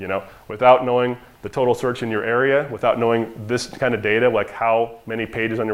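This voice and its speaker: The voice belongs to a man and sits at a medium pitch. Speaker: marketing agency owner presenting to dentists. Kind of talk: conference presentation. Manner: fast; casual, conversational.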